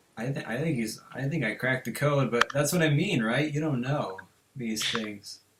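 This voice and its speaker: A man's plain, everyday voice, medium in pitch, with ordinary pitch variation at a moderate pace. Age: 18. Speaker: podcast host. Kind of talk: casual chat.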